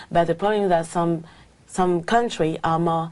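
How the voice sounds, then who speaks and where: Against a quiet background, a woman with a French accent speaks at a moderate pace in a fairly low pitch with fairly even intonation. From France. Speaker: language exam candidate. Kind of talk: speaking exam interview. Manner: halting, many fillers.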